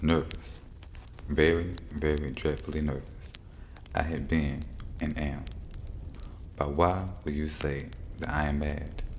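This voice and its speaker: Soft-spoken delivery comes at a fairly slow pace with fairly even intonation. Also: man. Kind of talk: soft-spoken fireside story reading for relaxation.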